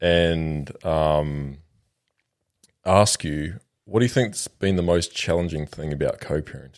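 In an Australian accent, a man speaks at a fairly slow pace with long, frequent pauses. His pitch is very deep and low. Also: ordinary pitch variation. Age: 20s. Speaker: podcast host. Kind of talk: casual chat.

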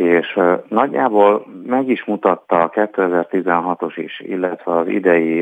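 A man speaks in a very deep, low voice. The sound is dry and close, with no echo. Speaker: sports journalist. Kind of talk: casual sports chat.

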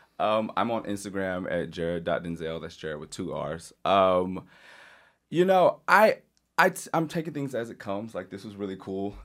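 In a very clean recording with a silent background, a man with an ordinary speaking voice and a fairly low pitch talks at a moderate pace, his intonation lively and his loudness swinging widely. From Louisiana, US South. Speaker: mental health advocate and press secretary. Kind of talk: casual chat.

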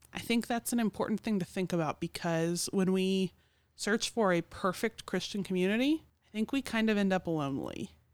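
A woman with an unremarkable speaking voice talks fairly quickly at medium pitch, with ordinary pitch variation and very even loudness. The sound is dry and close with no echo, on a very clean recording with a silent background. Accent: American. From Oklahoma City. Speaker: church podcast co-host. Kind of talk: casual chat.

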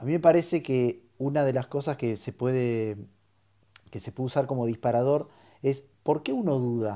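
On a very clean recording with a silent background, a man with a dark, mellow tone talks at a moderate pace and medium pitch. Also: ordinary pitch variation. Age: 50s. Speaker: co-moderator. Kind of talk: casual chat.

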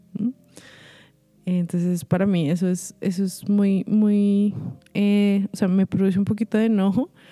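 A woman speaks at a fairly slow pace with very even loudness, fairly even intonation and long, frequent pauses, with music in the background. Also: medium pitch for a woman, dry, close sound with no echo. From Colombia. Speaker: singer and vocal coach. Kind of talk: interview.

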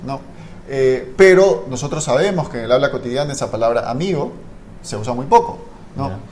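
With audible room echo and noticeable background noise, a man talks with lively intonation and big swings in loudness. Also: medium pitch for a man, fairly quick pace. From Guayaquil, Ecuador. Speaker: linguistics scholar. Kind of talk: educational conversation. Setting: live-streamed podcast.

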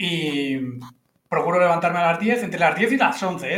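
Here is a man with a normal speaking voice. He talks at a fairly quick pace with ordinary pitch variation. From Menorca, Spain. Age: 30s. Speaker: professional poker player. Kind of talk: casual chat.

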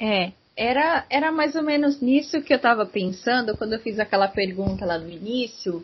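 A woman's normal speaking voice at a moderate pace, with lively intonation. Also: fairly high pitch for a woman. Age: 20s. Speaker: podcast host. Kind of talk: casual interview chat.

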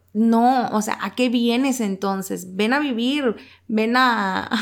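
Her pace is very slow. This woman's intonation stays fairly even. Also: very clean recording, silent background. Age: 20s. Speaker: podcast co-host. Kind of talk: casual chat about a book.

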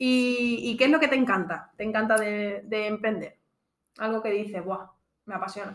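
A woman with a plain, everyday voice speaks at a moderate pace, her fairly high pitch carried on fairly even intonation. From Extremadura, Spain. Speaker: podcast host, entrepreneur. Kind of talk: casual chat.

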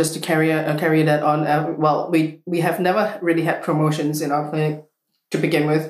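A woman speaks at a fairly low pitch and a moderate pace. Audible room echo surrounds her voice. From Singapore. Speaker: clinic co-founder and practitioner. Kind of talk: casual chat.

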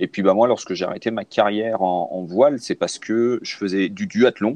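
A man at medium pitch, with a dry, close sound and no echo. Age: 40s. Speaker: cycling and triathlon coach. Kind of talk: casual interview. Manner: halting, many fillers.

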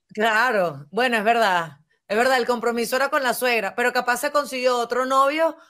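In a Venezuelan accent, the speaker talks at a fairly quick pace with an animated tone. The recording is very clean, with a silent background. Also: woman. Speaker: podcast host. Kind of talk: casual chat.

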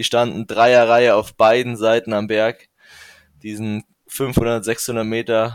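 A man speaks at a medium pitch in a flat monotone, recorded very cleanly against a silent background with a dry, close sound and no echo. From Bavaria, Regensburg (Upper Palatinate). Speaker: professional cyclist. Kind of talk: interview.

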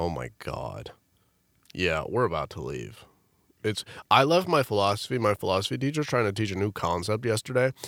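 With a fairly quick pace broken by long, frequent pauses, a man speaks with vocal fry and very wide pitch swings, in a very clean recording with a silent background and a dry, close sound with no echo. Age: 20s. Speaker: college student podcast co-host. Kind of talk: casual chat. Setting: studio. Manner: animated.

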